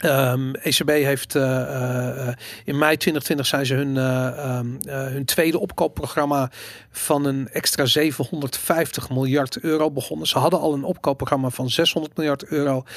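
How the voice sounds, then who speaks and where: A man talks at a very slow pace. His fairly high pitch holds a fairly even intonation. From Amsterdam, Netherlands. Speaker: podcast host. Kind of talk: casual chat.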